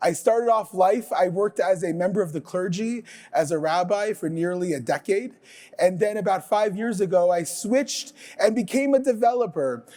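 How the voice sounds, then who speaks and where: A dark, mellow tone carries the speech along at a moderate speed. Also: man. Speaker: conference speaker, software developer and former rabbi. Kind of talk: conference talk. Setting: stage with audience at in-person conference.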